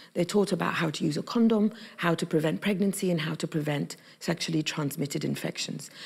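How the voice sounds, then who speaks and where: A woman with an Arabic accent talks at a fairly quick pace with a fairly low pitch and vocal fry. Her pitch variation is ordinary. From Egypt. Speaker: activist and journalist. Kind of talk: interview. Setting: youth summit event.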